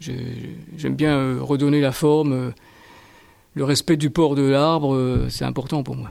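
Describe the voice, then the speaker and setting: This man has a fairly high voice with fairly even intonation. He talks at a very slow pace. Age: 60s. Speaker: school gardener. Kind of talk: interview answers.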